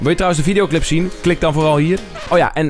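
A man's voice comes through a dry sound with no echo, with faint music in the background. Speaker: youtuber. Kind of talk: casual vlog appeal to viewers.

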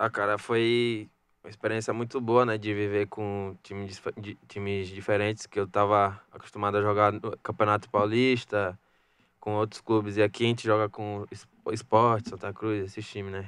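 Over a quiet background, a man talks at a moderate pace with monotone, flat intonation, and the sound is dry with no echo. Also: fairly low pitch for a man. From Salvador, Bahia, Brazil; Bahia, Brazil. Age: young. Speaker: youth footballer; guest. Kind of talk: radio interview. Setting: radio studio. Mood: calm, slightly shy. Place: studio. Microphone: studio mic.

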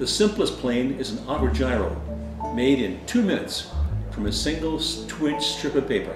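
Clear music plays behind a man talking at a moderate pace. The room echo is audible. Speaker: paper airplane hobbyist. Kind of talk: hobby demo talk to camera. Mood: calm, friendly. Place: home room. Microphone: camera far.

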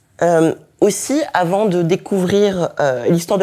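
A woman speaks here. Her voice is fairly low, with a dark, mellow tone. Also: quiet background. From France, of Togolese parents. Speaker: historian, university lecturer; university lecturer. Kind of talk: lecture. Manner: hesitant, many fillers. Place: hall.

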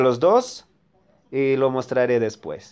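An animated man with lively intonation. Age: 50s. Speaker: mobile game youtuber. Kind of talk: gameplay commentary.

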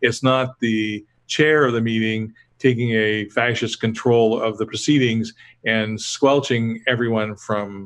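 Monotone, flat intonation against a quiet background. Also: man. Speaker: presenter. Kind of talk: lecture. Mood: relaxed, lightly humorous. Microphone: webcam.

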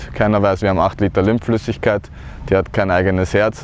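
A man's fairly low voice with fairly even intonation, dry with no echo, over light background noise. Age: 30s. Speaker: cancer survivor. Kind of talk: personal testimony talk to camera. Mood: earnest, calm. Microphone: lapel.

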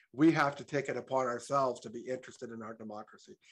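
A man's medium-pitched voice at a very fast pace, with fairly even intonation over a quiet background. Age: 60s. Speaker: public commenter. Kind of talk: public comment. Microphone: video call.

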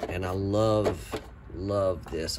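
A man's voice over loud background noise. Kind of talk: casual vlog chat. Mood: enthusiastic. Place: workshop. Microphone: phone near.

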